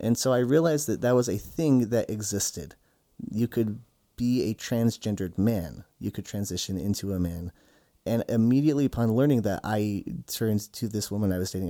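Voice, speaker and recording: A man with an American accent speaks at a fairly quick pace in a fairly low pitch, with a dark, mellow tone and ordinary pitch variation, on a very clean recording with a silent background. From Utah. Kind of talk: interview testimony.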